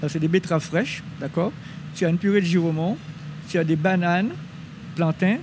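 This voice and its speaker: A man's intonation stays fairly even as noticeable background noise plays behind him. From Guadeloupe, Basse-Terre. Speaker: chef. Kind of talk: interview. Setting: outdoors in a garden at night. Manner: halting, repeats words.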